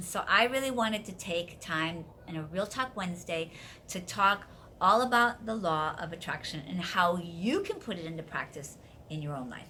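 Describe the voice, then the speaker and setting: With an American accent, a woman talks at a moderate pace in a bright, sharp and enthusiastic tone with lively intonation. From US Midwest (Wisconsin). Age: 60s. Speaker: life coach and video host. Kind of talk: casual vlog talk to viewers.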